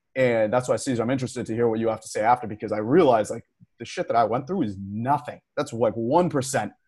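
Speaking very fast with an American accent, a man uses a medium pitch and a somewhat breathy voice. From Waltham, Massachusetts, US. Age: 20s. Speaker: podcast co-host. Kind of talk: casual chat. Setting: video call.

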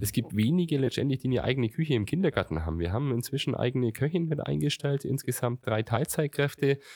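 The recording is very clean, with a silent background and a dry, close sound with no echo. A man talks at a very fast pace with lively intonation. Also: medium pitch for a man. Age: 40s. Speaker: mayor. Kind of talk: interview. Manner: halting.

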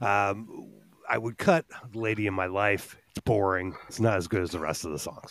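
A man's fairly low-pitched, normal speaking voice at a moderate pace, with ordinary pitch variation. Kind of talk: casual chat.

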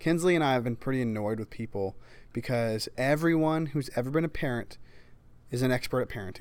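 On a very clean recording with a silent background, a man with a normal speaking voice talks at a fairly quick pace, his pitch medium with ordinary variation. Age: young. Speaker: podcast host. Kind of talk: casual interview chat.

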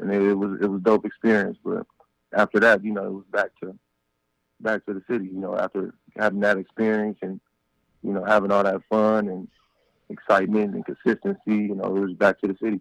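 With an American accent, a man speaks fairly quickly at a fairly low pitch in a monotone, flat way, leaving long, frequent pauses, the sound dry and close with no echo. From Compton, California. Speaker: former pro football player. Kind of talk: casual interview. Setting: phone call.

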